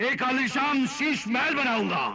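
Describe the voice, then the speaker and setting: Using a put-on character voice, a man reaches an extremely high pitch. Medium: audio drama. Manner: warm, grand.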